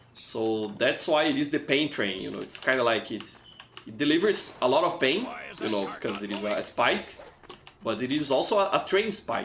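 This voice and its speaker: Over noticeable background noise and audible room echo, a man at medium pitch speaks with very wide pitch swings. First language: not English. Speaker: gaming livestreamer. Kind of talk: live gameplay commentary. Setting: livestream. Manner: halting, frequent repetitions. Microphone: poor mic.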